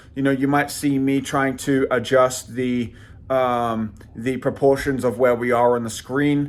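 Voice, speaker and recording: Here a man speaks with a London accent in a fairly high voice. His pace is fairly slow. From London, England. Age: 30s. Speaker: channel host reviewing side projects. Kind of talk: casual intro and user interview.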